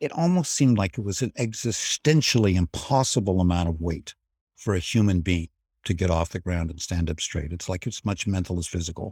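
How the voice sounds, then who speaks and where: Somewhat breathy and at a fairly quick pace, the voice shows ordinary pitch variation on a very clean, dry, close recording with no echo and a silent background. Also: man, very deep, low pitch for a man. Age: 70s. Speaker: business school professor. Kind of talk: interview.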